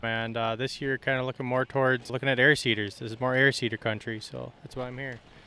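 A man with an Upper Midwest accent, medium in pitch and bright and sharp in tone. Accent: Upper Midwest (Minnesota). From central Minnesota. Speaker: farmer. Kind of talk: casual interview. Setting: farm show.

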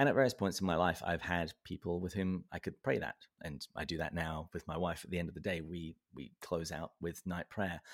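A man with a very deep, low pitch and a southern English accent, at a fairly quick pace with hardly any pauses. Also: ordinary pitch variation, very clean recording, silent background. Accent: southern English, noticeable. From south of England, Berkshire. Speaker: podcast host. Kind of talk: casual interview conversation. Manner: humorous, self-deprecating.

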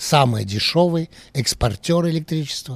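Slow-paced and somewhat breathy, a man speaks with lively intonation. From France, Paris. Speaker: journalist. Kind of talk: interview. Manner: hesitant.

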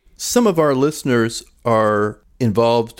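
Over a very clean recording with a silent background, a man talks in a plain, everyday voice with ordinary pitch variation. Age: 60s. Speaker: podcast host and church leadership coach. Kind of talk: casual chat.

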